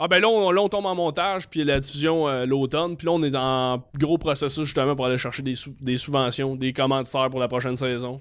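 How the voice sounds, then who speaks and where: Speaking in a normal speaking voice at a fairly quick pace, a man with a fairly high pitch shows ordinary pitch variation on a very clean recording with a silent background. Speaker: comedian. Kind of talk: casual chat.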